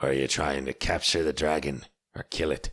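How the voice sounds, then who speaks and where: The speaker uses a put-on character voice that sounds raspy. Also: man. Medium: read story.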